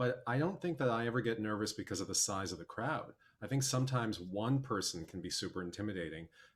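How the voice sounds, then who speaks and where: A somewhat breathy man with an American accent and a medium pitch speaks at a very fast pace with lively intonation. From US Midwest, Milwaukee, Wisconsin. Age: 40s. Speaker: documentary filmmaker and musician. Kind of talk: casual chat.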